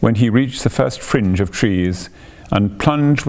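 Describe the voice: Plain reading aloud is delivered here with lively intonation.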